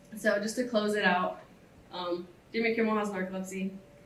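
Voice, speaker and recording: There is audible room echo as a woman talks, and noticeable noise sits in the background. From Ohio, US. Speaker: student speaker. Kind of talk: symposium talk.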